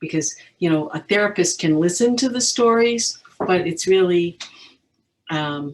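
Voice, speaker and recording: A woman with an unremarkable speaking voice, fairly low in pitch, at a fairly slow pace with lively intonation. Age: 60s. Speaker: counselor, audience member. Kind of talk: audience comment in online discussion. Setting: video call.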